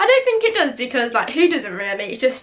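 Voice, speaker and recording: Here a woman speaks with an English accent. Her pace is very fast. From England. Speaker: beauty and lifestyle vlogger. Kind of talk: casual vlog talk. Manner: chatty with many fillers. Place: home room.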